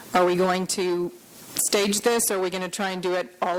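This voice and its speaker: A woman at a fairly quick pace with fairly even intonation, over noticeable background noise. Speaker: veterinary surgeon. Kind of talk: conference lecture. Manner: fast.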